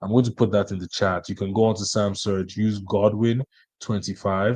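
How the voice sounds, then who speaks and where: A man speaks at a moderate pace in a normal speaking voice with fairly even intonation over a quiet background. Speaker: business coach / live-stream host. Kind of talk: live webinar tutorial. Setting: live stream.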